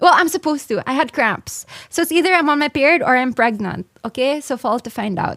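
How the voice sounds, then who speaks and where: A woman with a high voice and lively intonation is recorded very cleanly, the background silent and the sound dry and close with no echo. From Philippines. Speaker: streamer. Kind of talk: casual chat.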